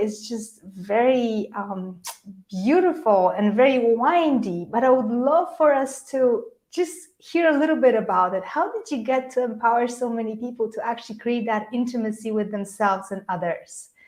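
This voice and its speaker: A woman's high-pitched voice with a Polish accent, lively intonation and a moderate pace. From Poland. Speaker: podcast host. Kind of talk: live interview.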